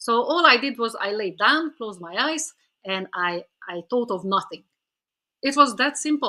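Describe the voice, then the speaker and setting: A woman with a non-native accent speaks at a moderate pace, high in pitch and bright, sharp in tone. Her pitch swings very widely and her loudness shifts in big swings. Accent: foreign. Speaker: author and spiritual teacher. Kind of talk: podcast interview. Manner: hesitant, many fillers and repetitions.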